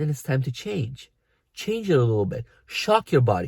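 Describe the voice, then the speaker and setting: A man with a non-native accent, a dark, mellow tone, a somewhat breathy quality, medium pitch and a moderate pace. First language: not English. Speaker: fitness coach. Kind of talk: vlog tutorial.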